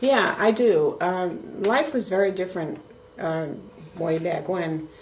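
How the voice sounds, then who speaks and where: In a New York accent, the speaker talks at a very slow pace with lively intonation. Noticeable background noise and audible room echo fill the recording. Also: woman, medium pitch for a woman. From US Northeast, Brooklyn, New York. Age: 70s. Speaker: grandmother being interviewed. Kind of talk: family interview.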